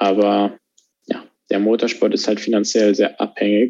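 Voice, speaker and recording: Speaking very slowly, a man uses a fairly low pitch and a dark, mellow tone. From Germany. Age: 20s. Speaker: racing driver. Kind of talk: interview. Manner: halting, many fillers.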